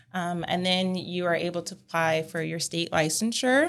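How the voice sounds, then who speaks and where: A woman with an American accent talks at a fairly slow pace, her pitch fairly low and her pitch variation ordinary. She has a plain, everyday voice, captured in a very clean recording against a silent background. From California. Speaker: speech language pathologist and clinic owner. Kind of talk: casual interview.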